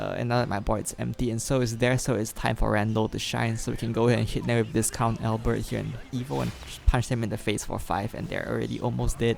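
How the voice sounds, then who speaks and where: A man talks at a very fast pace as music plays behind him. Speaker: gaming youtuber. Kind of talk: gameplay commentary. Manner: soft-spoken; hesitant, many fillers.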